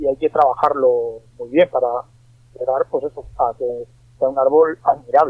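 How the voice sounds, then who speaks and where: Speaking fairly slowly, a man is heard. His pitch moves in an ordinary way. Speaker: bonsai artist. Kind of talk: interview. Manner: halting, many repetitions.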